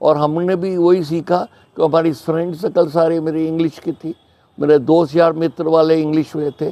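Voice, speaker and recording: A man speaks in a dark, mellow tone. His intonation stays flat and monotone. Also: fairly high pitch for a man. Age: 80s+. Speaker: English teacher. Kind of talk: interview answer.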